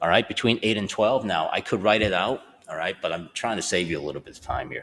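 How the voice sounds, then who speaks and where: With noticeable noise in the background, a man's speech moves at a fairly quick pace. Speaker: math teacher. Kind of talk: tutorial. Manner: casual, conversational; fast.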